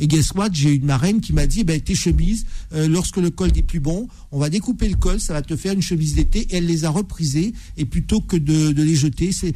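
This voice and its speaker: Speaking at a fairly quick pace, a man with fairly high pitch has an unremarkable speaking voice and ordinary pitch variation. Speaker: lawyer, debate panelist. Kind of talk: radio panel debate. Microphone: microphone badly positioned at first.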